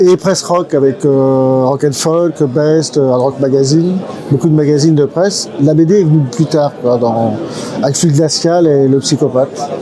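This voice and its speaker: Over noticeable background noise, a man speaks fairly slowly with very even loudness. His pitch is fairly high, with ordinary variation. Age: 60s. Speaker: comic book illustrator. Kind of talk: interview. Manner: hesitant, many fillers.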